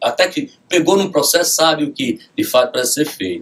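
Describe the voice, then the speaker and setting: Fairly quick speech from a man over noticeable background noise. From Rio Grande do Norte, Brazil. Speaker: judge. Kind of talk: radio interview. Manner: formal.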